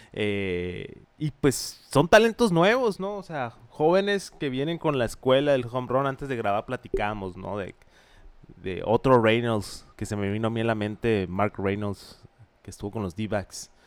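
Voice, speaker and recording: A man with an unremarkable speaking voice, medium pitch, lively intonation and a fairly slow pace. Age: 20s. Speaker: baseball podcast co-host. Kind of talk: casual chat.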